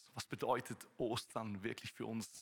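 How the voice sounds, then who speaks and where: A man speaks. His tone is bright and sharp. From Switzerland. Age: 30s. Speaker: preacher. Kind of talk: sermon. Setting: church service with live audience.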